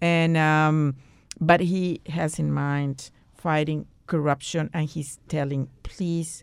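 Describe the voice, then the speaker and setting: The speaker has a Spanish accent and a monotone, flat intonation. The pace is very slow. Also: woman, very clean recording, silent background. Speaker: diplomat. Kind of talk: interview.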